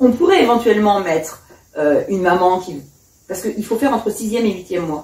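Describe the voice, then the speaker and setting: Ordinary pitch variation broken up by long, frequent pauses. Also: woman. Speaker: hypnobirthing practitioner. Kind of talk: casual interview. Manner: fast.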